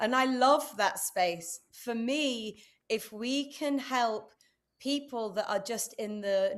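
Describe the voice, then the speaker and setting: A woman talks with a British accent and ordinary pitch variation. The recording is very clean, with a silent background. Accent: UK. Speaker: entrepreneur and speaker. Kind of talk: interview. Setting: live stream.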